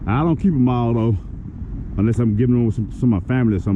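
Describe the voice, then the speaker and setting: Noticeable background noise surrounds a man delivering speech at a very fast pace. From northern Louisiana and southern Arkansas. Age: 40s. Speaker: fishing vlogger. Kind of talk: casual vlog commentary. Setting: outdoors. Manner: animated.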